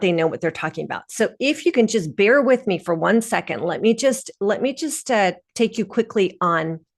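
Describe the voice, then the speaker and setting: A woman's normal speaking voice at a fairly high pitch and moderate pace, over a quiet background. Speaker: PR consultant and webinar presenter. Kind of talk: webinar presentation. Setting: online webinar with screen share.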